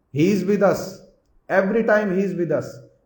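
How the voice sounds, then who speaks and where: A man with an Indian accent speaks at a high pitch. Room echo is audible. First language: Hindi. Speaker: spiritual teacher. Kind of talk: religious discourse. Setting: hall with assembled audience. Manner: repetitive, emphatic.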